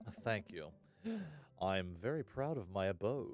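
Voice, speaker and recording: At a fairly slow pace, someone performs a put-on character voice over clear music in the background. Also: man, fairly low pitch for a man. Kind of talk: theatrical. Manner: proud, suave.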